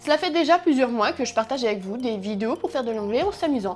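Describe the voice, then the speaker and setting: A woman with an upbeat tone, a high pitch and very wide pitch swings at a very fast pace over music in the background. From France. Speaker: language learning YouTuber. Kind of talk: casual talk to camera.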